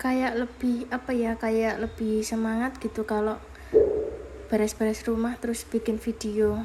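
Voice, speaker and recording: Fairly slow and monotone, with flat intonation, the speech comes in a Javanese accent. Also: woman, very even loudness. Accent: Javanese accent in Indonesian. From Java, Indonesia. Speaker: vlogger and housewife. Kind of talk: casual vlog voiceover. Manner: casual, somewhat halting.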